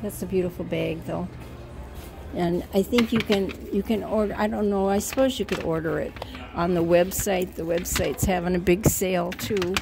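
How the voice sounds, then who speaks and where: Clear music plays in the background. A woman speaks over it at a moderate pace with fairly even intonation. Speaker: shopping vlogger. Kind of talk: casual vlog chat. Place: shop. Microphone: phone near.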